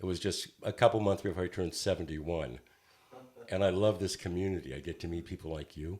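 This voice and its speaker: Speaking at a very fast pace, a man uses a very deep, low pitch with vocal fry and fairly even intonation. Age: 70s. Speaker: poet songwriter and smoking cessation coach. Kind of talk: casual chat.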